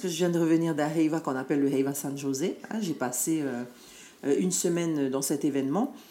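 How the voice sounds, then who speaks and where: Delivery comes at a fairly quick pace. The tone is dark and mellow. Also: woman. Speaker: dance group leader and education adviser. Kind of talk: interview.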